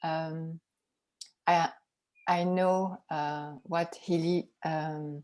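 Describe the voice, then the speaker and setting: In a French accent, a woman speaks with a dark, mellow tone, fairly low pitch and fairly even intonation. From France. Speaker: group member. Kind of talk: group video call talk. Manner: halting.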